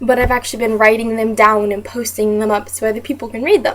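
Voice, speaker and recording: Someone with an American accent talks over noticeable background noise. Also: woman. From US South. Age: 20s. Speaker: teaching job applicant. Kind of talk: self-introduction video. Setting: webcam recording. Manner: fast.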